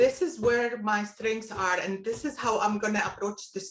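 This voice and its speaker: A woman is speaking. She has a non-native accent. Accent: foreign. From Palestine. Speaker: retired business executive. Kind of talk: interview. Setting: video call.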